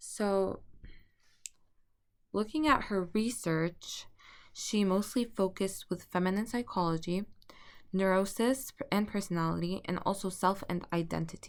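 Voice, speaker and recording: Speaking with a non-native accent at a medium pitch, a woman moves at a fairly slow pace with ordinary pitch variation and long, frequent pauses, in a very clean recording with a silent background. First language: not English. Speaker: student. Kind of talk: class presentation. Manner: halting, with stutters and restarts.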